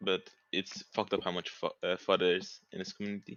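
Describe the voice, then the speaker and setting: At a fairly quick pace, a man talks in a non-native accent. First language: not English. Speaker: community member asking a question. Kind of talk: live AMA Q&A.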